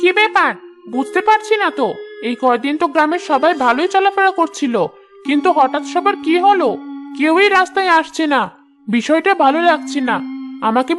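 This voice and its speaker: A high-pitched, cartoonish character voice at a moderate pace, with clear music in the background. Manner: sly, scheming.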